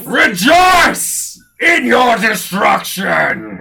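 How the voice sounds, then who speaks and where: A man shouting in a put-on character voice at an extremely high pitch, with music in the background. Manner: menacing.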